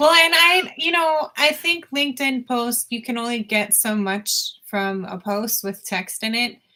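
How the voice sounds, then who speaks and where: Loud and bright with a sharp tone, a woman speaks fairly slowly at a high pitch. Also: lively intonation. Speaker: podcast co-host. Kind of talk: casual chat.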